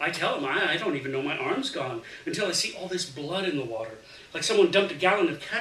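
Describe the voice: Someone reads aloud. The reading is plain.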